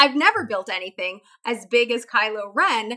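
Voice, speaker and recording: Her bright, sharp tone sits at a fairly high pitch, and this woman speaks with an American accent and ordinary pitch variation. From Chicago. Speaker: fantasy football analyst. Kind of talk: casual interview chat.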